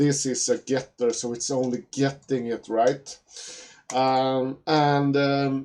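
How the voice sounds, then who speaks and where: A man in a Swedish accent, medium in pitch, at a very slow pace with monotone, flat intonation. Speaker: programming teacher. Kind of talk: tutorial. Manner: halting, many fillers and repetitions.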